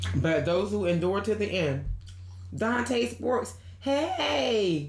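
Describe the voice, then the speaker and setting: Very slowly, a woman speaks with very wide pitch swings, heard with audible room echo and noticeable background noise. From Delmarva, Delaware/Maryland Eastern Shore. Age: 40s. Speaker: YouTuber. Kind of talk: livestream chat with viewers. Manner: loud; casual, many fillers.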